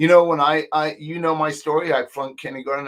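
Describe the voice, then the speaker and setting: A man speaks at a moderate pace. The recording is very clean with a silent background. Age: 60s. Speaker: online marketing tutor. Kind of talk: screen-share tutorial live stream. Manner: casual, hesitant with fillers.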